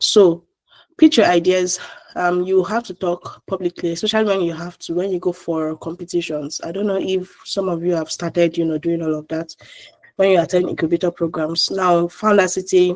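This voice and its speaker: This woman's voice sits fairly low in pitch. Her intonation is monotone and flat. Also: moderate pace, dry, close sound with no echo. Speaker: trainer for entrepreneurs. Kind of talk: online workshop lecture.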